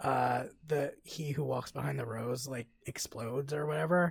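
A man talks in a somewhat breathy voice. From Mexican heritage. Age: 30s. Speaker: podcast co-host. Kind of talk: casual chat.

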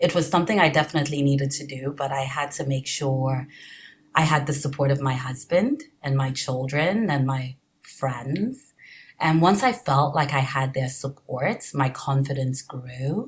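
A woman speaks with a very deep, low pitch and a somewhat breathy quality. Her pace is moderate and her pitch variation ordinary. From Nigeria. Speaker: political candidate for borough council. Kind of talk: casual interview.

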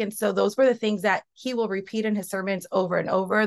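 Against a quiet background, a plain, everyday voice moves at a moderate pace with fairly even intonation. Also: woman. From Mexican-American, US. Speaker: ministry co-founder, pastors' daughter. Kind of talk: casual chat.

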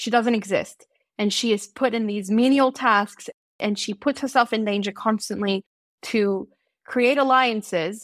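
In a very clean recording with a silent background, a woman with a normal speaking voice and a fairly high pitch talks at a moderate pace with fairly even intonation. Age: 20s. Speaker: fanfiction writer. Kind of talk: casual interview chat.

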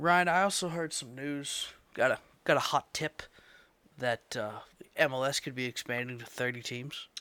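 A man speaks at a moderate pace with fairly high pitch, ordinary pitch variation, big swings in loudness, a bright, sharp tone and long, frequent pauses, on a very clean recording with a silent background. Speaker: podcast host. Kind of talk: casual chat.

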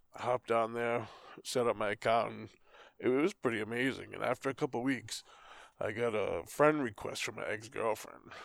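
A man with a Boston accent speaks at a moderate pace with medium pitch, fairly even intonation and vocal fry. The recording is very clean, with a silent background and a dry, close sound with no echo. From Boston area, US. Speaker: podcast co-host. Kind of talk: casual chat.

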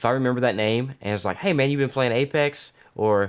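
Using a normal speaking voice, a man talks at a fairly quick pace with ordinary pitch variation on a very clean recording with a silent background. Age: 30s. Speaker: military instructor and streamer. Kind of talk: casual chat.

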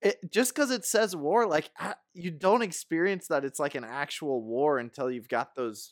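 A man with an ordinary speaking voice talks at a fairly slow pace in a fairly high pitch, with lively intonation. The recording is very clean with a silent background and a dry, close sound with no echo. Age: 30s. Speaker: movie fan guest. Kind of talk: casual chat.

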